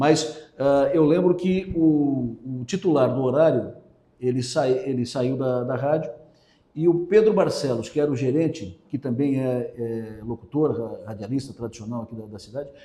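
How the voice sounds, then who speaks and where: A man's voice with big swings in loudness amid noticeable background noise. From southern Santa Catarina, Brazil (Araranguá). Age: 60s. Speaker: radio host and journalist. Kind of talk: interview. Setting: radio station.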